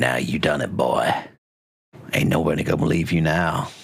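A man's put-on character voice, very deep, low-pitched and raspy, at a moderate pace with fairly even intonation and audible echo. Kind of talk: colloquial. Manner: sneering.

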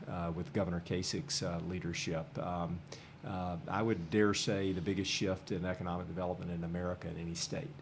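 Very deep, low male voice at a moderate pace, ordinary pitch variation, audible room echo. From Nashville, Tennessee. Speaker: business organization CEO. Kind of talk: interview.

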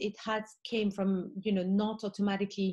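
A woman speaks at a medium pitch with a dark, mellow tone. Her voice is somewhat breathy. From Morocco. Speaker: art fair founder. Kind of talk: panel discussion.

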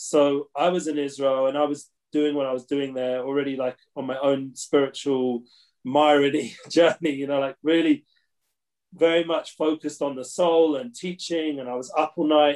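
A fairly high-pitched male voice in a London accent, monotone and flat, at a moderate pace. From London, England. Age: 40s. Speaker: consultant and rabbi-teacher, music booking agent. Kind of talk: casual interview chat. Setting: remote call from Jerusalem.

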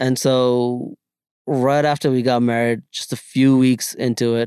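In an American accent, a man with an unremarkable speaking voice talks fairly slowly at medium pitch with fairly even intonation. The sound is dry and close, with no echo. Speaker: podcast guest. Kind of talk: casual chat.

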